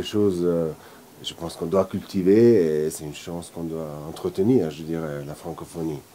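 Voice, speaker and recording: With an Italian accent, a man speaks in a very deep, low voice and fairly even intonation. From Italian-speaking Switzerland, Lugano. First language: Italian (speaking French). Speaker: film director. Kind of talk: interview.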